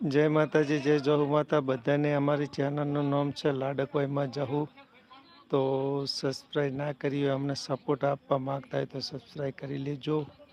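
Over noticeable background noise, a man with a fairly high pitch speaks in a monotone, flat way. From north Gujarat, Sami taluka. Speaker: YouTube live streamer. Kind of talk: casual live stream chat. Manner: chatty, greeting viewers.

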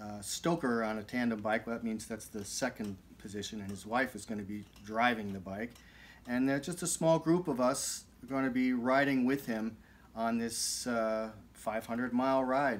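A man talks at a moderate speed. The rise and fall of his pitch is ordinary. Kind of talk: casual vlog chat. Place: studio. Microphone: studio mic.

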